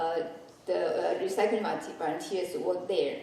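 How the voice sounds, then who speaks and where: There is noticeable background noise in this clip. A woman talks, and her voice carries audible room echo. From Taiwan. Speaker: chemist and conference speaker. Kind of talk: presentation. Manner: halting, many fillers.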